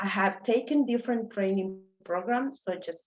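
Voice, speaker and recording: A woman with a Mexican accent, moderate pace and ordinary pitch variation. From Mexico City. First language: Spanish. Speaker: immigrant speaker, geologist. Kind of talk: personal story talk.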